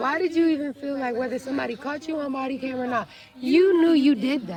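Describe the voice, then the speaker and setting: A soft-spoken woman with a high pitch rushes along at a very fast pace with ordinary pitch variation amid noticeable background noise. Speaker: roleplay server police chief. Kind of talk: meeting speech.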